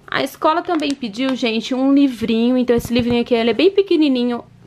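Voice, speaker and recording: Animated female voice with lively intonation at a fairly quick pace, over light background noise. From Curitiba, Paraná, southern Brazil; Paraná, Brazil. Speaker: mom vlogger. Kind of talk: vlog show-and-tell. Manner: chatty, animated. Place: home room. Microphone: phone near.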